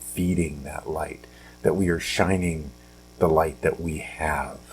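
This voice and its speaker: A man speaks quietly at a very slow pace. His very deep, low voice keeps fairly even intonation. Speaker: podcast host. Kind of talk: casual motivational talk. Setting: at home, early morning. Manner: quiet, hushed; halting, many fillers.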